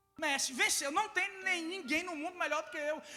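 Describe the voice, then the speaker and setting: Raised and projected, a man's voice sits at an extremely high pitch with a bright, sharp tone and ordinary pitch variation. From Ceará, Brazilian Northeast. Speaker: guest preacher and mental health speaker. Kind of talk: sermon. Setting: church service with congregation.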